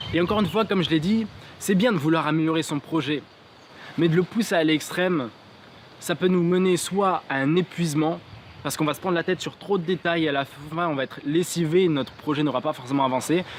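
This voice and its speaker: The man speaks fairly quickly, his pitch varying in an ordinary way. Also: fairly high pitch for a man. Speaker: motivational YouTuber. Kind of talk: motivational vlog talk to camera. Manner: fast.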